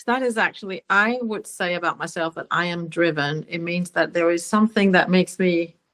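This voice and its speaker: At a fairly slow pace, a woman with a Danish accent speaks with lively intonation in a dry, close sound with no echo. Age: 60s. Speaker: singer-songwriter. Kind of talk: interview conversation. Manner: halting, many fillers.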